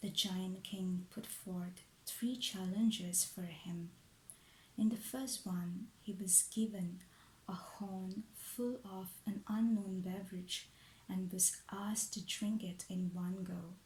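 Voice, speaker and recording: A man speaks quietly in a soothing tone at a high pitch. His pace is very slow and his intonation fairly even. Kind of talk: ASMR bedtime story narration. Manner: hushed, soothing, relaxing.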